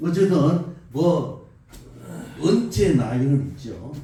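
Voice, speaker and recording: There is audible room echo around a man whose dark, mellow voice shows vocal fry. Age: 70s. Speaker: pastor. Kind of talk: sermon.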